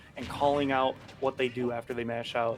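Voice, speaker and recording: This man speaks fairly quickly while music plays behind him. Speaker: esports commentator. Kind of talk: live commentary.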